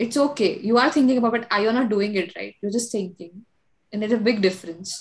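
Somewhat breathy and fairly high in pitch, a woman talks at a fairly quick pace with ordinary pitch variation. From India. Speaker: podcast host. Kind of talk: casual chat.

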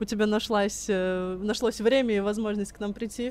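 Against a quiet background, a woman speaks in an ordinary speaking voice at a medium pitch and moderate pace, with fairly even intonation. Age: 20s. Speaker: podcast co-host. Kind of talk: casual chat.

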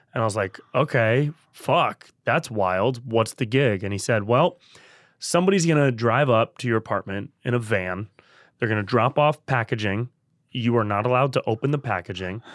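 In a very clean recording with a silent background, a man with a Californian accent talks at a medium pitch with ordinary pitch variation. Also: moderate pace. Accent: Californian American. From Northern California (Davis, near Sacramento). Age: 30s. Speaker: podcast host and comedian. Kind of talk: casual chat.

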